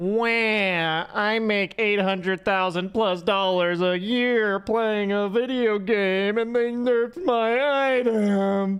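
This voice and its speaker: A whiny put-on character voice at fairly high pitch goes at a very slow pace. The background is quiet. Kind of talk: mocking exaggeration. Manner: whiny, complaining.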